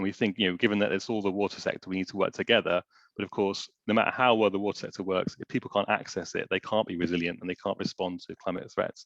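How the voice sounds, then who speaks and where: Over a quiet background, a man talks at a very fast pace with a fairly low pitch and fairly even intonation, the sound dry and close with no echo. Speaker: water charity representative. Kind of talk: webinar presentation. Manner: halting, many fillers.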